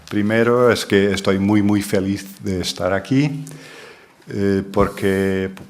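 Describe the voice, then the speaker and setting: Very slow speech with fairly even intonation, audible room echo and noticeable background noise. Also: man, fairly low pitch for a man. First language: Portuguese (speaking Spanish). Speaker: linguistics professor. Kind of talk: lecture.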